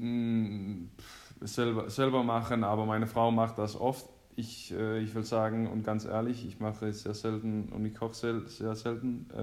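At a fairly slow pace, a man with a Danish accent speaks at medium pitch in a flat monotone. Room echo is audible. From Denmark. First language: Danish (speaking German). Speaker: professional handball player. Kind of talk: casual chat. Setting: phone call.

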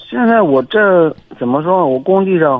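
A man at a very slow pace with lively intonation. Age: 30s. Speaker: construction worker. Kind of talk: call-in advice conversation.

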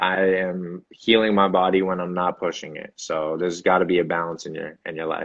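In an American accent, a man with a very deep, low pitch speaks at a moderate pace in a monotone, flat intonation. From Boston. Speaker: actor, model and athlete. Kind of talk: interview.

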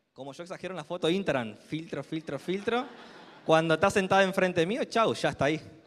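A man speaks with a Rioplatense accent, high-pitched for a man and at a fairly quick pace. His tone is bright, sharp and animated. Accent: Argentine Rioplatense Spanish. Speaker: motivational speaker at a sales business event. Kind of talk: motivational speech. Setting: stage with audience. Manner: loud, animated.

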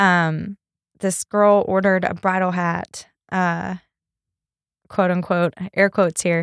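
In a Texan accent, a woman speaks very slowly with long, frequent pauses and monotone, flat intonation, on a very clean recording with a silent background and a dry, close sound with no echo. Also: medium pitch for a woman. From East Texas. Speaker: hat designer and boutique owner. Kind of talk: casual interview.

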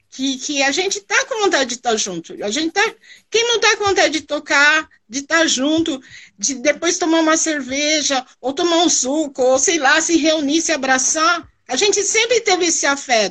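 With lively intonation, a woman talks at a moderate pace in an extremely high voice. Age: 50s. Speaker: carnival percussion group member. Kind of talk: casual interview.

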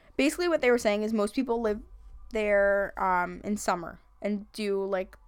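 With a Long Island accent, a woman talks at a medium pitch and a moderate pace with ordinary pitch variation, in a very clean recording against a silent background. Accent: Long Island New York. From Long Island, New York. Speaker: podcast host. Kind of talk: casual comedic chat. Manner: joking, crude, animated.

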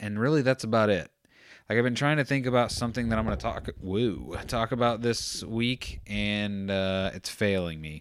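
This is a man with a normal speaking voice, fairly low in pitch with ordinary pitch variation. He keeps a moderate pace in a very clean recording with a silent background. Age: 30s. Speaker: podcast host. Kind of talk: solo monologue. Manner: rambling, self-interrupting.

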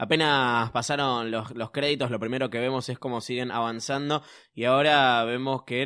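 Medium in pitch, the man's voice has a bright, sharp tone. The recording is very clean, with a silent background. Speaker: podcast host. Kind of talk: casual chat.

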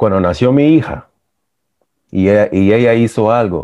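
Slow-paced and fairly low, a man's voice carries lively intonation. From US, born in El Salvador. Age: 40s. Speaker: men's support group member. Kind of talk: personal testimony.

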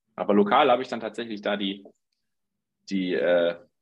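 The speaker is a man with a fairly low pitch. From Germany, Dortmund (Ruhr area). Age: 30s. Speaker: startup founder. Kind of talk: interview.

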